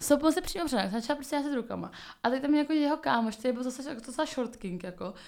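A woman's high voice, very fast, with lively intonation. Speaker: podcast co-host. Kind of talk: casual chat. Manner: fast, halting.

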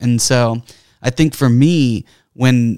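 Speaking in an ordinary speaking voice with an American accent, a man keeps a medium pitch and fairly even intonation. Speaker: school board member and parent. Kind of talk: casual chat. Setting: studio.

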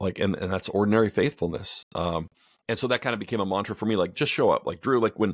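On a very clean recording with a silent background and a dry, close sound with no echo, a man with a plain, everyday voice speaks at a fairly quick pace, his fairly low pitch varying in an ordinary way. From Canada. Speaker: author and editor. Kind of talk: interview conversation.

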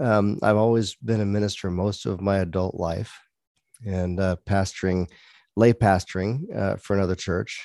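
The recording is very clean, with a silent background and a dry, close sound with no echo. A man with a Texan accent speaks at a moderate pace in a fairly low pitch, his tone dark and mellow. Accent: Texan American. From Texas. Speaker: pastor and police chaplain. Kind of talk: interview conversation. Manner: halting.

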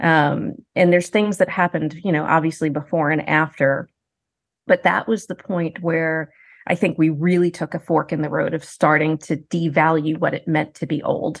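In a plain, everyday voice, a woman with a fairly low pitch speaks at a moderate pace. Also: fairly even intonation. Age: 50s. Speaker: professor. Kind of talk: interview.

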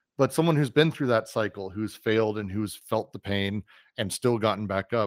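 A man's unremarkable speaking voice, fairly low in pitch, with an American accent, in a dry, close sound with no echo on a very clean recording with a silent background. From Colorado, US. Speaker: tech company CEO, game and VR producer. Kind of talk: interview.

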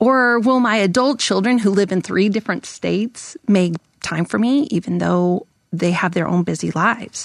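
A woman with an unremarkable speaking voice talks at medium pitch and a moderate pace, with ordinary pitch variation and very even loudness, in a dry, close sound with no echo over a quiet background. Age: 50s. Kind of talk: podcast interview with read-aloud passages. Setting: studio.

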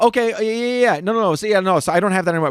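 A man on a very clean recording with a silent background, the sound dry and close with no echo. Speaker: podcast co-host, addiction counselor. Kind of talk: casual banter.

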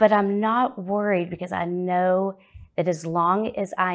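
A woman at medium pitch talks at a fairly slow pace in an unremarkable speaking voice. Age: 40s. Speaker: recovery group founder and travel agent. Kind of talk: testimony.

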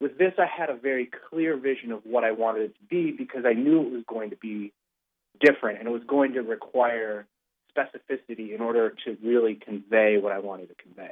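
This man's loudness swings widely as he speaks at a fairly quick pace, with a medium pitch and ordinary pitch variation. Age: 20s. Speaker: film director. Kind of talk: interview. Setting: phone call. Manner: halting.

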